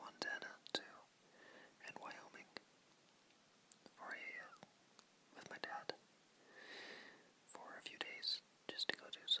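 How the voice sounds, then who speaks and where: Noticeable background noise surrounds a whispering man. His whisper is very slow. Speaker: ASMR whisperer. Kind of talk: casual talk to camera. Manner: whispered.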